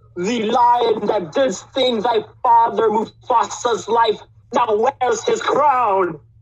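This is a put-on character voice with a fairly high pitch. The pace is very slow. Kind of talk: villain monologue. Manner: sinister, gloating.

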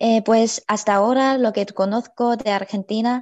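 A woman speaks with a Chinese accent at a fairly slow pace. The background is quiet. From China. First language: Chinese (speaking Spanish). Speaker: university student; guest. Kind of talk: panel discussion. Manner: halting, many fillers. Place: home room. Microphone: video call.

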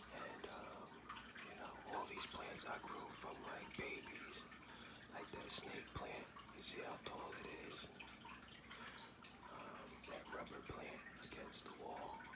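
The man talks at a very slow pace, with long, frequent pauses. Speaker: ASMR creator. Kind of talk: ASMR whisper, casual talk to camera. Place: home room. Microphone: phone near.

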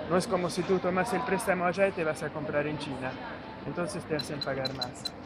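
A man's high-pitched voice at a fairly quick pace with ordinary pitch variation, amid audible room echo and noticeable background noise. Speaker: youtuber. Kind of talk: casual vlog narration. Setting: hypermarket.

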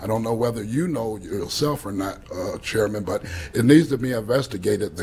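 His speech moves at an even, moderate speed. The man's intonation rises and falls in a lively way. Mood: aggrieved, accusatory. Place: meeting room.

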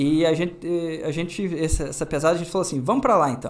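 A man's fairly high voice runs at a fairly quick pace. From Paraná, southern Brazil (near Pato Branco/Francisco Beltrão); Paraná, Brazil. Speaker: motorcycle youtuber. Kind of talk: casual interview. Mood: relaxed, amused. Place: studio. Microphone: studio mic.

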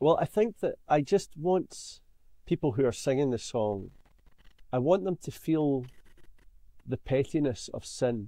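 Speaking in a Scottish accent at a fairly slow pace with long, frequent pauses, a man with a fairly high pitch and a dark, mellow tone uses lively intonation, recorded dry with no echo against a quiet background. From Scotland. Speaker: songwriter; podcast guest. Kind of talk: interview. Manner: halting. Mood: thoughtful, earnest. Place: home room. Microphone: webcam.

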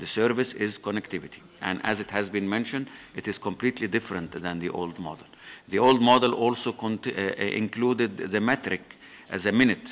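A man with an Arabic accent speaks at a moderate pace with a fairly low pitch and ordinary pitch variation. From Egypt. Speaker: former government minister. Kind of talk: conference panel talk. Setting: stage with audience. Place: hall.

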